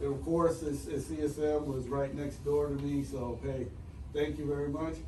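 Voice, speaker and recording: A man's fairly high pitch, flat monotone intonation and moderate pace, with audible room echo. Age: 50s. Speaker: retiring army finance officer. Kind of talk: retirement speech. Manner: casual, repeats words often.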